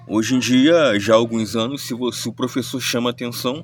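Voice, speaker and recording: A man's medium-pitched voice stays fairly even in intonation while noticeable background noise runs underneath. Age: 30s. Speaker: commentary vlogger. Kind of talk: spoken reflection monologue. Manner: halting, many self-corrections.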